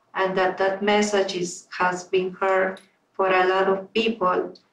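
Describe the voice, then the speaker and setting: A woman with a Spanish accent and a medium pitch at a very slow pace. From Peru. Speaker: toastmasters club member. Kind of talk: panel q&a.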